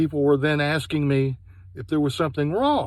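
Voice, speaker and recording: The very clean recording with a silent background captures a man speaking at a fairly high pitch. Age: 60s. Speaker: product reviewer. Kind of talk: personal testimony review.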